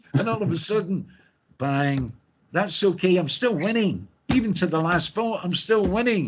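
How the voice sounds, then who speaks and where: A man with a Scottish accent talks in a high pitch at a moderate pace. His tone is animated and his intonation lively. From Scotland. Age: old. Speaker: singer. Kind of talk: interview.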